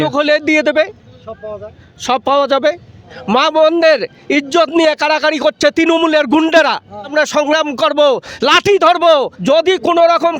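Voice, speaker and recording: A man speaks at an extremely high pitch with fairly even intonation. The sound is dry and close with no echo, though background noise is noticeable. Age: 60s. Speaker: protest marcher. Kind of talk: street interview answer. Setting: outdoors.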